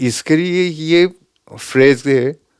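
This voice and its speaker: A man speaks with a Japanese accent. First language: Japanese (speaking Hindi). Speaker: santoor player. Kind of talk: interview.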